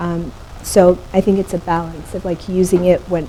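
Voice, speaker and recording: A woman at a fairly low pitch and moderate pace, with noticeable background noise. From Ethiopia, Addis Ababa. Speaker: photographer and artist. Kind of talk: panel conversation. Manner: halting.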